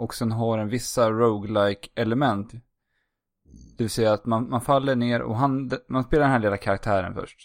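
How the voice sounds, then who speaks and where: This man has a plain, everyday voice and talks at a moderate pace with fairly even intonation. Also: medium pitch for a man. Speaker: podcast host. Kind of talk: casual chat. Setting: remote recording.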